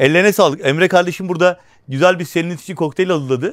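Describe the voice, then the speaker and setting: A man speaks at a very fast pace in a high voice. His intonation is lively. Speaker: travel vlogger and travel agent. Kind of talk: hotel tour vlog. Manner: speaking quietly.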